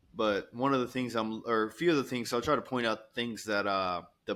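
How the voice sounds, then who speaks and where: At a fairly quick pace and with ordinary pitch variation, the speaker comes through on a very clean recording with a silent background. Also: man. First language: not English. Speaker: podcast co-host. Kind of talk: casual chat.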